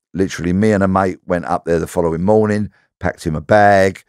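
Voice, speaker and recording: Dry and close with no echo, the very clean recording has a silent background. A man with an English accent speaks at a fairly quick pace. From south-east London, Bexleyheath. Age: 60s. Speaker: ex-police detective. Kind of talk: interview conversation.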